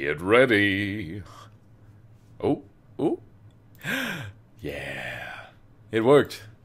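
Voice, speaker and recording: A man's fairly low-pitched voice with vocal fry, very wide pitch swings, a very slow pace, and long, frequent pauses. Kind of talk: casual livestream chat.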